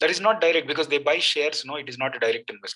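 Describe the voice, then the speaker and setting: Very fast speech with lively intonation. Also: man. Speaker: exam coaching teacher. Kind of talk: lecture.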